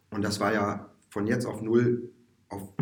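A man speaks in a somewhat breathy voice. Room echo can be heard. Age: 40s. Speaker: musician and music teacher. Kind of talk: casual interview. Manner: hesitant, many fillers.

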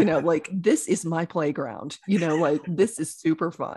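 A woman speaks with an American accent in a dark, mellow tone. Her delivery is somewhat breathy. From rural Oklahoma. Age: 50s. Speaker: chiropractor and intuitive coach. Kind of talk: interview.

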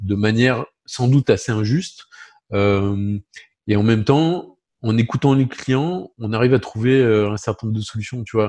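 In a dry, close sound with no echo and a quiet background, a man with a normal speaking voice talks at a fairly slow pace, medium in pitch with ordinary pitch variation. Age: 50s. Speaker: insurance broker company president. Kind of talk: interview.

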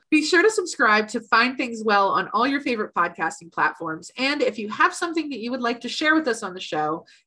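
With an American accent, a woman talks at a fairly quick pace, her bright, sharp tone moving through very wide pitch swings. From US, Philadelphia. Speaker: podcast host, writer. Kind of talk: casual chat.

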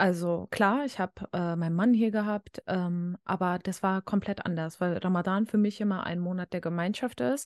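In a plain, everyday voice of medium pitch, a woman speaks at a moderate pace with ordinary pitch variation, recorded with a dry, close sound with no echo over a quiet background. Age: 20s. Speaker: student and social media video creator. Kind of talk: casual interview.

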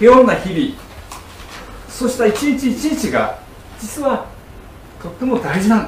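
A man's voice, extremely high-pitched, with ordinary pitch variation, a fairly slow pace, long and frequent pauses, big swings in loudness, audible room echo and noticeable background noise. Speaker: pastor. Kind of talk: sermon. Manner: frequent fillers, hesitant.

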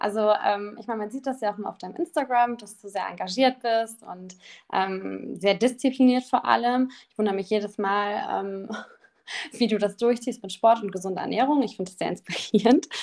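Speaking at a moderate pace, a woman has a plain, everyday voice with a fairly high pitch. Her loudness swings widely. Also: ordinary pitch variation. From Düsseldorf, Germany. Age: 20s. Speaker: influencer manager, agency owner. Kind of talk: casual interview.

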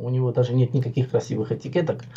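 A man's dark, mellow voice with vocal fry. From Georgia (Tbilisi), Armenian. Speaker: vaping video blogger. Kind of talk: casual chat. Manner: animated.

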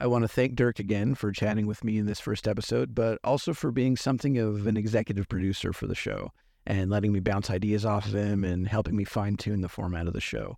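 A man speaks very fast with hardly any pauses, in a fairly low voice with an American accent. His pitch varies in an ordinary way. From US West Coast. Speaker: podcast host. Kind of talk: scripted narration; casual chat.

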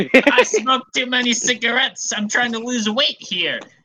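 This put-on character voice is guttural and gravelly, pitched fairly high and delivered at a moderate pace. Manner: rough.

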